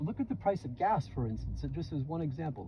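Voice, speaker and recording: A man talks at a fairly quick pace in a New York accent. Noticeable background noise runs beneath him. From US Northeast, New York City (Bronx). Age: 60s. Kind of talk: casual chat. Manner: halting, many repeated words; animated.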